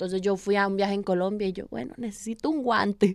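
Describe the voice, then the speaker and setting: Here is a woman with a normal speaking voice at a medium pitch, talking at a fairly quick pace. The sound is dry and close with no echo. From Costa Rica, Paso Ancho (San José). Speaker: hammer thrower, athlete. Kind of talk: interview.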